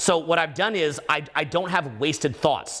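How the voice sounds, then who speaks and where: Loud and energetic, a man speaks over noticeable background noise. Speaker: dating and social skills coach. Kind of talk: live stream conversation. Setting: live broadcast in a room with guest. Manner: loud, energetic.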